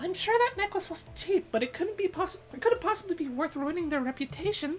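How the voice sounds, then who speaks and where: A man puts on a squeaky character voice at an extremely high pitch. He talks at a fairly quick pace over clear background noise. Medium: game stream. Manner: polite, persuasive.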